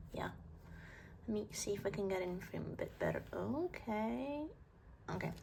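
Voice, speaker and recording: A woman at a moderate pace, with very even loudness and long, frequent pauses. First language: not English. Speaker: art vlogger. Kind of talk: casual chat while drawing. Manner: halting.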